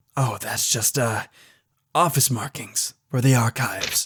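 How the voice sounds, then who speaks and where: In a put-on character voice, a man speaks at a medium pitch. His voice is raspy and his pace fairly slow. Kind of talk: audio drama. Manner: polite.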